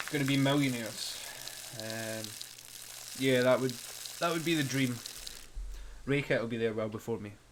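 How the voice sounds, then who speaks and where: A man talks at a moderate pace and medium pitch with long, frequent pauses. Audible room echo and noticeable background noise surround him. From Scotland. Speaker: gaming streamer. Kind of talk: casual gameplay commentary. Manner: animated.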